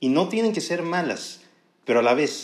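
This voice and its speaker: With a northern Mexican accent, a man talks at a fairly slow pace with lively intonation, and audible room echo surrounds him. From northern Mexico. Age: 20s. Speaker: podcaster, student. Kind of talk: monologue podcast. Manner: relaxed. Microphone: professional microphone.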